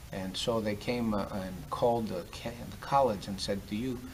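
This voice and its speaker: A man with a fairly low pitch speaks in a space with audible room echo. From Greece. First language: Greek. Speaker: university development director. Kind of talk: casual interview. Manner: hesitant, many fillers.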